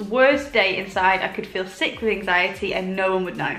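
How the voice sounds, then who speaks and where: A woman speaks in a relaxed tone. Noticeable background noise and audible room echo fill the recording. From northern England, village near York. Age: 20s. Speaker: lifestyle YouTuber. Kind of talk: casual Q&A chat. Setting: sitting at home, comfy. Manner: relaxed, chatty.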